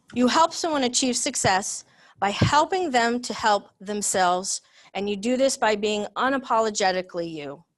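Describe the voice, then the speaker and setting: Against a quiet background, a woman with a fairly high pitch talks at a moderate pace, her tone animated and her intonation lively. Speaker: business leader, speaker. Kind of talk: talk presentation. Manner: loud; direct, animated.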